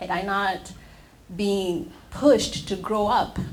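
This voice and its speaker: A woman with an East African accent at medium pitch, in audible room echo. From Tanzania. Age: young. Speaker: nonprofit founder and executive director. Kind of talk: panel discussion. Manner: halting.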